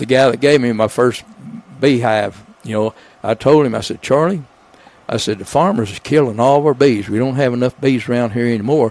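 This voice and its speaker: A man talks at a fairly quick pace with an Arkansas accent. His pitch varies in an ordinary way. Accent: Southern US (Arkansas). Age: 80s+. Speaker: retired builder and beekeeper. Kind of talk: casual interview chat. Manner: halting, many fillers.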